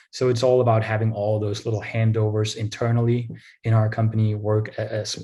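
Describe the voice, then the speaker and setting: Speaking at a fairly quick pace, a man uses a fairly low, dark, mellow and somewhat breathy voice with monotone, flat intonation. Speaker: revenue operations analyst. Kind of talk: interview. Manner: hesitant, many fillers and repeats.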